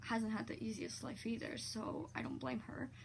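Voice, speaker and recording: Amid noticeable background noise, a woman with a very deep, low pitch speaks at a fairly slow pace. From Poland, moved to Ontario, Canada at about 8. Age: 20s. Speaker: vlogger. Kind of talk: personal testimony vlog. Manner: halting, many fillers and repetitions.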